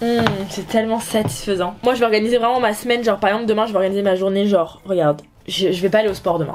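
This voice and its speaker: At a very fast pace, a woman talks at medium pitch with ordinary pitch variation against noticeable background noise. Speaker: youtuber. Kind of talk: casual vlog chat.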